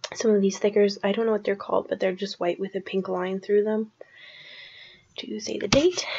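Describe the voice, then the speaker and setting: A soft-spoken woman's medium-pitched voice with a Canadian accent, fairly even intonation and a fairly quick pace, over noticeable background noise. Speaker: crafting video creator. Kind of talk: casual tutorial voiceover. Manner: soft-spoken, quiet; hesitant, many fillers.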